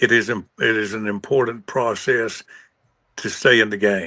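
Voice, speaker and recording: At a moderate pace, a man talks with a bright, sharp tone, medium pitch and ordinary pitch variation. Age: 70s. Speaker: singer-songwriter. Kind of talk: casual chat. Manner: halting, many fillers.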